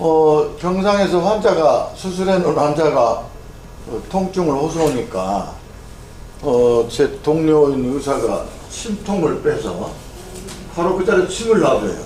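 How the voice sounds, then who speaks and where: Pausing long and often, a man speaks very slowly in a high voice with lively intonation, with audible room echo and noticeable background noise. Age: 70s. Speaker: neurosurgeon and Korean medicine doctor lecturer. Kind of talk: lecture. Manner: casual, conversational with fillers.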